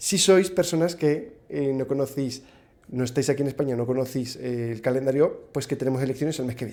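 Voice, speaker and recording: A man with a strong Aragonese accent and a dark, mellow tone speaks at a fairly quick pace with medium pitch and ordinary pitch variation. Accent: strong northern Spanish (Aragonese). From Spain, Zaragoza (Aragon). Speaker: podcast guest, content creator. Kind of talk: casual interview chat.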